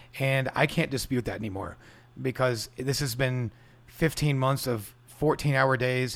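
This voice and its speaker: In a very clean recording with a silent background, a man speaks in a normal speaking voice with fairly even intonation. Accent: American. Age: 40s. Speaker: restaurant owner. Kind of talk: casual interview. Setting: at home.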